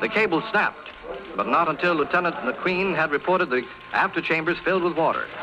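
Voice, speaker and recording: Over noticeable background noise, a man speaks at a high pitch and a fairly quick pace, with ordinary pitch variation and very even loudness. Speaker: radio news announcer. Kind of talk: old-time radio news broadcast. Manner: formal, crisp.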